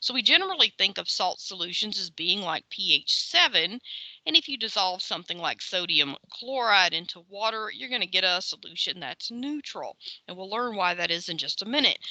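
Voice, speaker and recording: A woman talks at a fairly quick pace with lively intonation and a medium pitch. Her loudness swings widely, and the sound is dry and close with no echo. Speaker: chemistry lecturer. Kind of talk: lecture. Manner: fast; casual, filler-heavy.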